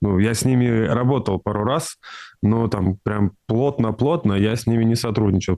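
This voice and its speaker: The background is quiet. A man speaks with a dark, mellow tone and ordinary pitch variation. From Russia, Tyumen; Russia. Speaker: composer; interviewee. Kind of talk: interview. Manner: halting, with many fillers. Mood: calm, thoughtful. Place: office. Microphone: studio mic.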